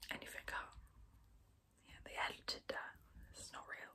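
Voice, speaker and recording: A woman whispering. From England. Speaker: ASMR creator. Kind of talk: ASMR whisper ramble. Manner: whispered, soft-spoken. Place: home room. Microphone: phone near.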